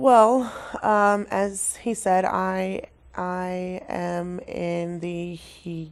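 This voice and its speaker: A woman speaks at a very slow pace. Her loudness swings widely. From Oregon, Cottage Grove. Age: 20s. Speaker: graduate student in social work. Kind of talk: interview. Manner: halting.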